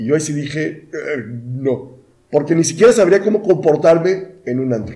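A man with a dark, mellow tone and a fairly high pitch speaks at a moderate pace, somewhat breathy, with lively intonation. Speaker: podcast co-host. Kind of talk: casual chat.

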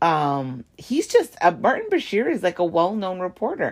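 Her tone animated and her pitch swinging very widely, a woman speaks at a moderate pace. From Canada. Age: 40s. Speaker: podcast host. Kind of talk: casual solo podcast monologue. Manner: animated, sassy, chatty.

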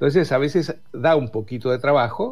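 A man speaks in a Rioplatense accent, somewhat breathy, with lively intonation. The recording is very clean, with a silent background. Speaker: communication consultant. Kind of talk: radio interview. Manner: halting.

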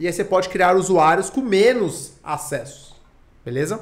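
Lively intonation from a man with a high-pitched voice. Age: 30s. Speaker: tech entrepreneur. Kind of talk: casual chat.

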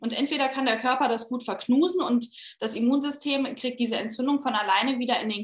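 A woman's high voice, with ordinary pitch variation, moves at a moderate pace. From Saarland, Saarbrücken. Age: 30s. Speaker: fertility patient sharing her story. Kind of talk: interview, personal testimony.

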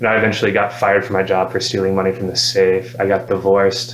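Through noticeable background noise and audible room echo, a man talks in a fairly low voice with fairly even intonation. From Alabama (Madison). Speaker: recovery program resident and campus leader. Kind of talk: testimony. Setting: on a recovery program campus.

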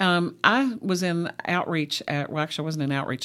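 A woman with a Kentucky accent speaks in a fairly even intonation on a very clean recording with a silent background. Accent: Kentucky (US South). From Central Kentucky. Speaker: ministry outreach worker. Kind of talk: interview. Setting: studio.

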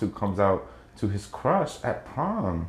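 A man is talking. There is some breathiness in his voice. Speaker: actor, writer, director and teacher. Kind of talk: casual podcast interview.

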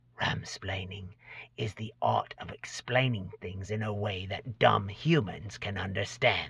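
A man's put-on character voice, raspy and hissing, whispering at a fairly slow pace. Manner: whispering, sly.

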